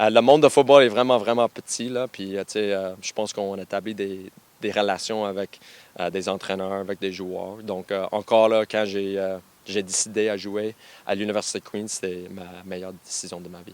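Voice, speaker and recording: On a very clean recording with a silent background, a man with a fairly low voice speaks at a moderate pace, his intonation fairly even and his loudness swinging widely. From western Canada, anglophone family. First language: English (speaking French). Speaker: university football coach. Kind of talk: radio interview. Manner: halting, many fillers and repetitions.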